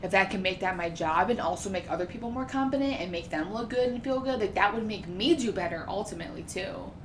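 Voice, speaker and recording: The speech comes at a very fast pace with hardly any pauses, over noticeable background noise. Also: woman, medium pitch for a woman. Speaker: nurse and personal trainer. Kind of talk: casual chat. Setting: studio. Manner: loud.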